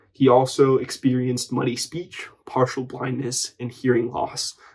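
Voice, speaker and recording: This is a man's voice. It sounds somewhat breathy. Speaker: educational video creator. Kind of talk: educational explainer narration.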